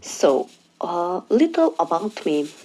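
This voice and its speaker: Very slowly, a woman talks with a non-native accent and very wide pitch swings. Noticeable background noise runs underneath. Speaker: diamond painting hobbyist. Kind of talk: casual talk to camera.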